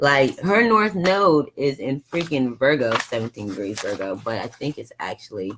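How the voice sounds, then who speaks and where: The talking proceeds at a medium tempo, with almost no breaks. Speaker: astrologer. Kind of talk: live chart reading. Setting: live online stream. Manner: animated.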